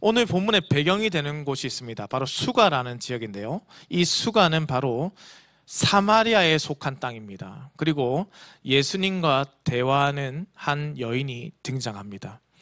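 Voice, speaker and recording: Very clean with a silent background, the recording captures a man with a fairly high pitch and a bright, sharp tone. His pitch swings very widely. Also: fairly slow pace. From Korea, Busan. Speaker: pastor. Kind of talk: sermon. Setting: church.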